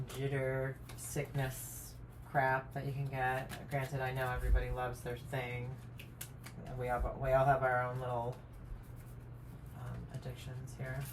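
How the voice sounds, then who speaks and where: Mumbling at a moderate pace with long, frequent pauses, the voice comes through noticeable background noise and audible room echo. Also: woman. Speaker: tarot and oracle card reader. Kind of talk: card reading monologue. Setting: at home on camera. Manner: casual, hesitant with many fillers.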